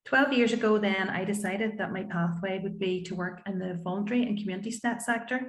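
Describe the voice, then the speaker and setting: A woman with a Northern Irish accent and a medium pitch talks very fast with hardly any pauses and fairly even intonation. Background noise is noticeable. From Northern Ireland, County Antrim. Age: 50s. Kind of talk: panel talk.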